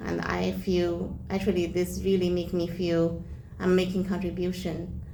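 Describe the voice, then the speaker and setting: A woman's voice with audible room echo. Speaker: volunteer. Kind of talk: difficult one-on-one conversation. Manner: halting.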